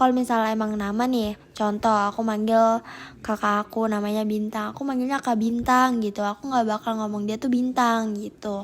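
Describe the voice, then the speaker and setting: In a very clean recording with a silent background, a woman speaks at a fairly high pitch and a moderate pace, her intonation monotone and flat. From Indonesia, Balikpapan, East Kalimantan. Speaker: university student interviewee. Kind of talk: interview. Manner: casual, colloquial Jakarta-style slang with fillers.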